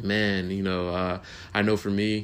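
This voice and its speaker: A fairly low-pitched male voice with fairly even intonation. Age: 20s. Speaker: podcast host. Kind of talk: casual solo monologue. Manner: halting, full of fillers and repeated words.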